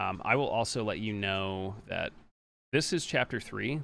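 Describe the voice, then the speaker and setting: Very clean audio of a man with a bright, sharp tone, against a silent background. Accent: American. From Pennsylvania, US. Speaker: speedrunner. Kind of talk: live gameplay commentary. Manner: casual, chatty.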